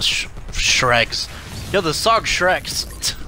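A man's bright, sharp voice, dry with no echo, over light background noise. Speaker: gaming YouTuber; gamer. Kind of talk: live gameplay commentary. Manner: animated. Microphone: studio mic.

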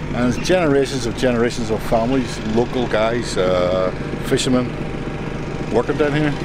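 A man speaks at a moderate pace. There is loud background noise, and the sound is dry with no echo. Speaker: travel vlogger. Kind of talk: casual vlog chat. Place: waterside. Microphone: phone near.

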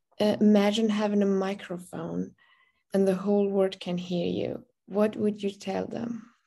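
A woman with a Persian accent speaks at a moderate pace in a dark, mellow tone, her intonation monotone and flat against a quiet background. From Iran. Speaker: interviewer. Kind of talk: interview. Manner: halting. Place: home room. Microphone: video call.

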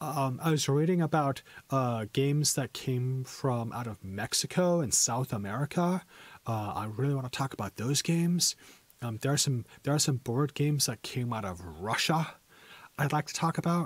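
In a very clean recording with a silent background and a dry, close sound with no echo, a man speaks with lively intonation and a somewhat breathy voice. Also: medium pitch for a man, moderate pace. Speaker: English teacher. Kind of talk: casual educational talk to stream viewers.

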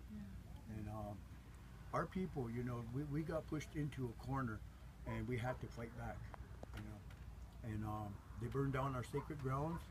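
A man speaks at a moderate pace, leaving long, frequent pauses. Noticeable background noise is present. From South Dakota, US. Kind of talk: interview conversation. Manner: halting, many fillers. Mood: earnest, grave. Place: tent. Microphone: camera far.

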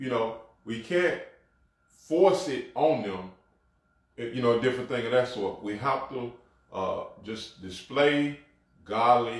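A man's somewhat breathy, medium-pitched voice with a Mississippi accent, at a very slow pace with long, frequent pauses, big swings in loudness and ordinary pitch variation. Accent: Southern US, Mississippi. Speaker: apostle, co-host. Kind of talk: religious talk show, testimony. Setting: livestreamed virtual broadcast. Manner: repetitive stammering.

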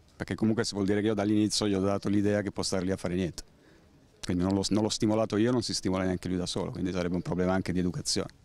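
The sound is dry with no echo. Delivery comes at a very fast pace with fairly even intonation. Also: man, fairly low pitch for a man. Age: 40s. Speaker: passer-by; interviewee. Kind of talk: street interview. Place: street. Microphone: handheld.

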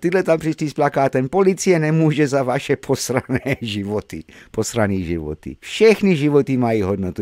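A man with an English accent talks at a fairly quick pace in a medium pitch, with hardly any pauses and an animated tone. His pitch swings very widely, and the sound is dry and close with no echo. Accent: English-accented Czech. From England. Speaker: video blogger commenting on news. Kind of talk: angry rant. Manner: loud, sarcastic, vulgar, furious; mocking, animated, exasperated.

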